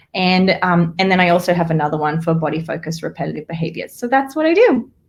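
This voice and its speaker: A somewhat breathy voice with an Australian accent races along at a very fast pace. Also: woman, fairly low pitch for a woman, ordinary pitch variation. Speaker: therapist. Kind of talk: live-streamed interview chat. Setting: live video stream.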